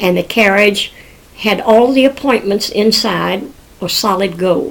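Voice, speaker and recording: At a fairly slow pace, a woman talks in a medium pitch over noticeable background noise. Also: ordinary pitch variation. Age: 80s+. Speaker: grandmother telling family history. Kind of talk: oral history storytelling.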